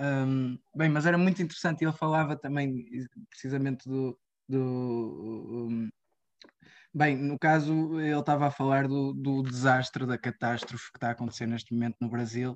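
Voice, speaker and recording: Moderate pace over a quiet background. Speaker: radio show host. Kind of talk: interview conversation. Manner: halting, many fillers.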